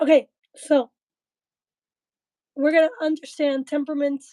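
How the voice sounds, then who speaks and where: A woman at a moderate pace, her sound dry and close with no echo. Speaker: livestream host. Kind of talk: livestream talk. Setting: live video stream. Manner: soft-spoken; halting.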